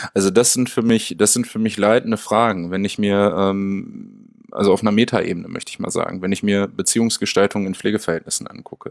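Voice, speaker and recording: A man's fairly low pitch in a monotone, flat intonation at a fairly quick pace with hardly any pauses. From Münster, western Germany. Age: 30s. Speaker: special-needs educator and researcher. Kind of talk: interview. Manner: hesitant, many fillers.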